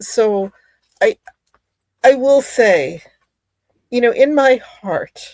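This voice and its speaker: With an American accent, a woman is speaking. Her voice sounds dry and close, without any echo. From US. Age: 60s. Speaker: author and witchcraft practitioner. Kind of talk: interview chat. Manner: halting.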